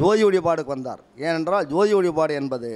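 A man is speaking. His voice sits high in pitch. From Tamil Nadu, Trichy; Tamil Nadu. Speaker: retired postal officer and devotee; speaker. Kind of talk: testimony. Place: studio. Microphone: handheld.

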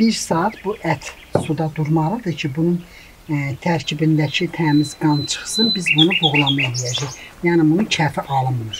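Noticeable background noise runs under this clip. A woman with a very deep, low pitch speaks at a very slow pace with ordinary pitch variation. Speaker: home cook. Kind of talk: cooking tutorial.

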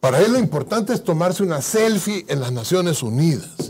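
Using very wide pitch swings and vocal fry, a man speaks at a fairly high pitch. He keeps a moderate pace. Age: 50s. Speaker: guest. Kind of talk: political interview. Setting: studio. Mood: critical, combative. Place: studio. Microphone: lapel.

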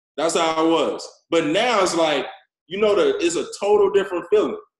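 A man speaks at a fairly quick pace, and room echo is audible. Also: quiet background. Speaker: forex network marketing leader and social media influencer. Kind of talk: motivational training talk. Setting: video call. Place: office. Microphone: video call.

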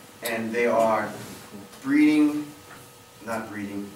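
A man talks with ordinary pitch variation. Audible room echo and light background noise surround him. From southeastern Pennsylvania, Pennsylvania Dutch. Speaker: amateur gardener giving a history talk; presenter. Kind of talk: public presentation to a historical society. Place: classroom. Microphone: camera far.

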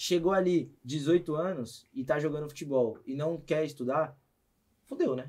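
A man talks at a fairly slow pace with a fairly high pitch. His pitch variation is ordinary, and the background is quiet. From Brazil. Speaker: podcast host; podcast host or guest. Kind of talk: casual chat. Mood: relaxed, casual. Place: studio. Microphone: studio mic.

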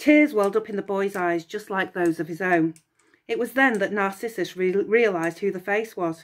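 Natural-sounding reading aloud with ordinary pitch variation against a quiet background

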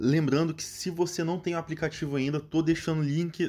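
With fairly even intonation, a man's voice comes across in a dark, mellow tone. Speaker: channel host promoting app bonuses. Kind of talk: sales pitch. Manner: casual, friendly, direct address to viewers.

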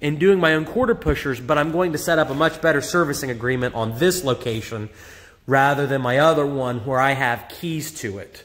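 With normal pitch movement, a man's voice moves along fairly quickly. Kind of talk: casual vlog walkthrough. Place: shop. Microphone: phone near.

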